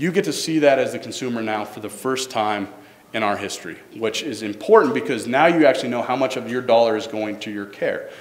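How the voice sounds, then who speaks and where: Speaking at a fairly quick pace, a man has a medium pitch and ordinary pitch variation. His loudness swings widely over noticeable background noise. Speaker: government staffer presenting health reform. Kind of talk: public presentation. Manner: fast.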